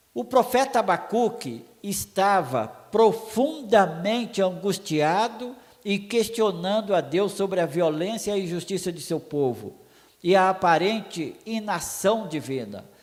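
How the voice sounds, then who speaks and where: A man's high-pitched voice with lively intonation. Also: fairly slow pace. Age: 60s. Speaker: preacher. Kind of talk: sermon.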